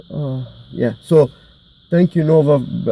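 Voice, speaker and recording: A man mumbles at a moderate pace with a non-native accent. His tone is dark and mellow. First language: not English. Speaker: mental health vlogger. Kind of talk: personal monologue. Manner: halting, many fillers; mumbling.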